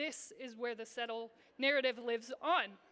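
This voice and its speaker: Raised and projected, a woman's bright, sharp voice with an American accent moves at a fairly slow pace. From Iowa, US Midwest. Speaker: social entrepreneur and speaker. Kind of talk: conference talk. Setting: stage with audience. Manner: animated.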